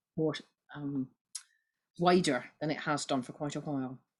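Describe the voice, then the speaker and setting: A woman with a Scottish accent and ordinary pitch variation. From Scotland. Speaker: Baptist minister and church history lecturer. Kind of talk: online lecture. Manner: fast.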